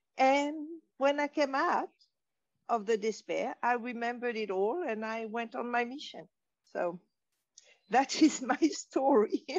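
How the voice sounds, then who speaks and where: A woman's high voice with a French accent, lively intonation, a fairly slow pace and long, frequent pauses. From Morocco (French family, raised in Casablanca). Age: 60s. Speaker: wisdom teacher. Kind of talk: interview.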